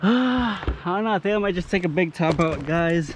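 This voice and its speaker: The intonation is lively, heard through noticeable background noise. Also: man. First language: not English. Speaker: arborist and tree climber. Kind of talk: casual vlog commentary while working. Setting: outdoors, tree work site. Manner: casual, conversational.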